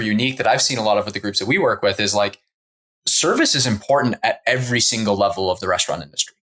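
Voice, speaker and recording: Very fast and bright, sharp in tone, a man of medium pitch talks with ordinary pitch variation and a slight Canadian accent. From Canada. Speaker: interviewer. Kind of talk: interview conversation.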